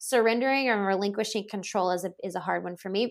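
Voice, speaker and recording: The recording is very clean with a silent background. A woman talks at a very fast pace with a fairly high pitch and fairly even intonation. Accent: American. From US South, Louisiana. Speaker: holistic nutritionist. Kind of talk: casual interview chat.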